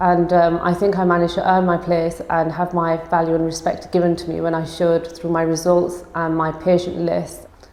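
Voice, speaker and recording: Intonation stays monotone and flat at a moderate pace. Noticeable background noise is present. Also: woman, fairly low pitch for a woman. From northern England, Huddersfield, Yorkshire. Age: 20s. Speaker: osteopath and business owner. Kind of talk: personal testimony interview.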